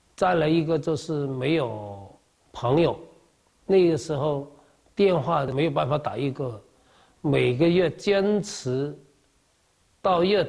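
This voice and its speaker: Speaking very slowly with long, frequent pauses, a man with a fairly high pitch uses lively intonation. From Kaiping, Jiangmen, Guangdong. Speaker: overseas Chinese community leader. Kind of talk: interview.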